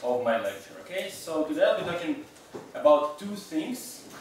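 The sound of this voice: At a moderate pace, a man speaks with audible room echo.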